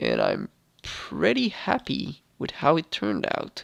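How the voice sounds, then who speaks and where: Here a man speaks at a fairly slow pace. Behind him the background stays quiet. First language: not English. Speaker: gaming YouTuber. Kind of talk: gameplay tutorial commentary. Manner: hesitant, with fillers.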